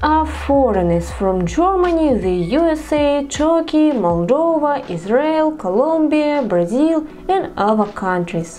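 Speaking fairly slowly with a Russian accent, a woman's high-pitched voice swings very widely in pitch over noticeable background noise. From Perm region, northern Russia. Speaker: vlogger. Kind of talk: casual talk to camera.

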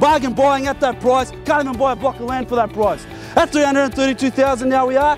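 Over clear background music, a man with an extremely high pitch talks very fast, the sound dry with no echo. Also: fairly even intonation. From Australia, Melbourne. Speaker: property auctioneer. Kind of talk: live property auction call. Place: street.

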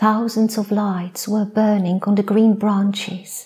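Soft-spoken and gentle in tone, a woman speaks at a very slow pace with monotone, flat intonation. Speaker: poet, storyteller. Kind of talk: sleep story. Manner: soft-spoken, gentle. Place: stage. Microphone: lapel.

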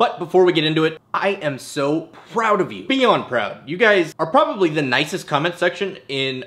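Lively intonation at a moderate pace. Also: man. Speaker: family vlogger. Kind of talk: casual vlog chat. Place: home room.

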